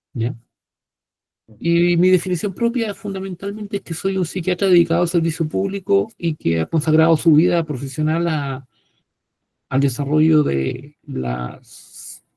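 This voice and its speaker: A man with a Chilean accent speaks in a dark, mellow, somewhat breathy tone at a fairly high pitch and a fairly slow pace. His intonation is lively, his loudness swings widely, and he takes long, frequent pauses. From Chile, provinces. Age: 60s. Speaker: psychiatrist and professor. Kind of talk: panel talk self-introduction. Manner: hesitant fillers.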